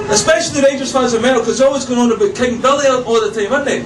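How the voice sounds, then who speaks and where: A man with a Scottish accent and an extremely high voice shows ordinary pitch variation, with audible room echo and noticeable background noise. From Scotland. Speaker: stand-up comedian. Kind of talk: stand-up. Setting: stage with audience.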